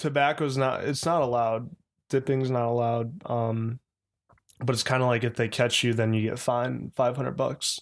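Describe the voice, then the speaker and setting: With an American accent, a man uses an ordinary speaking voice at medium pitch, keeping a moderate pace and fairly even intonation. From Chicago. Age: 20s. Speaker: professional baseball player. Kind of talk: casual chat.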